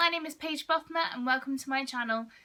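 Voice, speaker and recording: A raised, projected voice with a bright, sharp tone, ordinary pitch variation and a British accent. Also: woman. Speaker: vlogger on mental health. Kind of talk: personal vlog talk to camera. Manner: loud.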